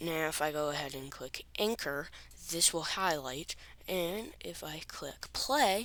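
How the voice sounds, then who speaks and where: Very deep and low in pitch, a woman speaks at a fairly slow pace. Her intonation is lively. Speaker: gaming tutorial youtuber. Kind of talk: tutorial. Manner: halting, stuttering; casual.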